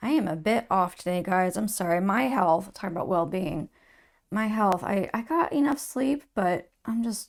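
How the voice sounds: Putting on a raspy character voice at a medium pitch, a woman speaks at a moderate pace with lively intonation in a very clean recording with a silent background.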